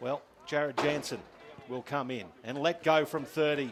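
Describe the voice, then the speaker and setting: With noticeable background noise behind him, a man with an Australian accent talks at a fairly high pitch with ordinary pitch variation. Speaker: football commentator. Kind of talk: live commentary. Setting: commentary box at ground.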